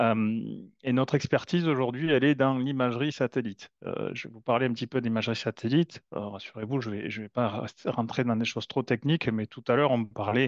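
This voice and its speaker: A man with a southern French accent talks fairly quickly at a medium pitch, his intonation fairly even. His loudness swings widely, and the sound is dry and close against a quiet background. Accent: southern French (Toulouse). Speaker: company founder, satellite imagery expert. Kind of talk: webinar presentation. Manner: hesitant, many fillers and repetitions.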